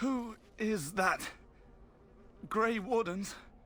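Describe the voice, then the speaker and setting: In a put-on character voice, a man speaks at a high pitch with ordinary pitch variation. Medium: video game.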